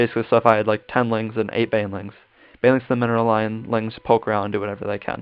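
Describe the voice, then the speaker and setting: Speaking very fast, a man with a fairly low voice keeps his intonation fairly even. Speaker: gaming content creator. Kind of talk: gameplay tutorial commentary. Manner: casual, many fillers.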